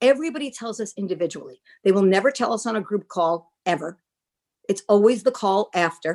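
Lively in intonation and fairly quick, a woman with a plain, everyday voice talks at medium pitch in a very clean recording with a silent background. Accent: American. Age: 60s. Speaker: nonprofit founder and mom. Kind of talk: casual interview chat.

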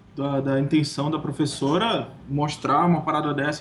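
A man with a fairly high pitch speaks at a moderate pace over noticeable background noise. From Manaus, northern Brazil. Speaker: designer. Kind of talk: casual chat.

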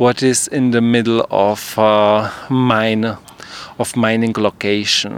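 A man speaks at a very slow pace in a Czech accent. Noticeable background noise runs underneath. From Czech Republic. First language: Czech (speaking Dutch). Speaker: theatre performer. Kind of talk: interview. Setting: outdoors on a rooftop. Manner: halting.

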